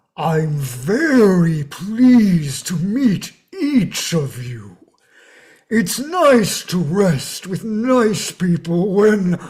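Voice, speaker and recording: The speaker uses a put-on character voice pitched in the middle range. Each word comes out at a very slow pace. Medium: stage play. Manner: polite, gentle.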